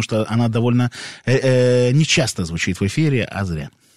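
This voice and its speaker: In a dry, close sound with no echo, a man with a plain, everyday voice speaks at medium pitch with ordinary pitch variation. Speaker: radio co-host. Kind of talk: casual radio chat. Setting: radio studio.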